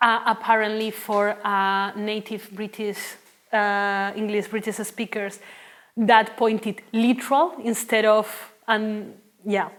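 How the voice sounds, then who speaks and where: A woman speaks at a very slow pace. Her fairly high pitch stays in monotone, flat intonation. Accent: Spanish. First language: Spanish. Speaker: linguistics researcher. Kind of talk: academic talk Q&A. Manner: halting, many fillers.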